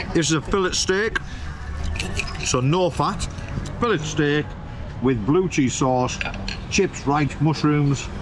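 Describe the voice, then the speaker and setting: Over noticeable background noise, a man talks at a very slow pace with long, frequent pauses. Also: ordinary pitch variation. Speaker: travel food vlogger. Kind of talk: casual vlog chat. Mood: enthusiastic, pleased. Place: cafe. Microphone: camera far.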